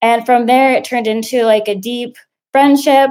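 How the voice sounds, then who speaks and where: A woman with a normal speaking voice talks with fairly even intonation and a fairly high pitch. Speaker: community member asking a question. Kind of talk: personal question with background story.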